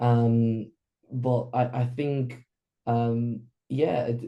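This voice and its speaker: A man speaks at a medium pitch in a dark, mellow, somewhat breathy tone. The background is quiet. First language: Spanish. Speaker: workshop participant. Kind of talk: group coaching discussion. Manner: halting, many fillers and repeats.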